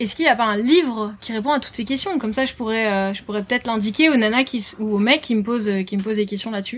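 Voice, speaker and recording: Somewhat breathy and fairly high in pitch, a woman talks at a very fast pace with ordinary pitch variation. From northern France, Lille. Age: 20s. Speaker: author and board-sports promoter. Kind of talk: casual interview. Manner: hesitant, many fillers.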